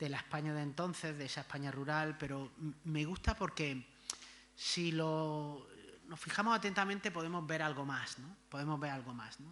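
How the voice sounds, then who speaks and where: The voice has a bright, sharp tone and an Andalusian accent. It moves at a moderate pace with ordinary pitch variation. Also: man. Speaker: history professor. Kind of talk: lecture. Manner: halting, many fillers and repetitions.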